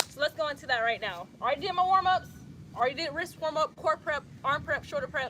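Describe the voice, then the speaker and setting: In a Southern US accent, a woman with a high pitch and ordinary pitch variation uses a raised, projected voice at a fairly quick pace over noticeable background noise. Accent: Southern US accent, called country by some. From US South, Atlanta, Georgia. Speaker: yoga instructor. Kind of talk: tutorial. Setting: outdoors, livestream. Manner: casual, conversational.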